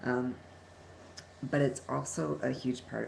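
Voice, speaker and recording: A man speaks at a fairly slow pace. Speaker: vlogger and social worker. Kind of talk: personal vlog. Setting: talking at a computer. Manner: halting, many fillers.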